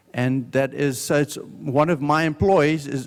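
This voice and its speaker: A man's fairly high voice in a South African accent. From South Africa, Johannesburg. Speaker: business owner giving a talk. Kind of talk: testimony talk at a conference. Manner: slow, deliberate.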